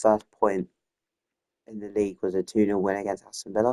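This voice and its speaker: A soft-spoken man talks at a moderate pace with a dark, mellow tone. The sound is dry and close, with no echo. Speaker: gaming youtuber. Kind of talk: gameplay commentary. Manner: halting.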